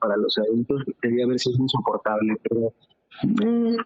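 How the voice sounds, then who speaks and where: A man talks at a moderate pace. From Mexico (Tijuana, Mexico City; born Querétaro). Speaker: singer-songwriter and guitarist. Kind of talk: interview.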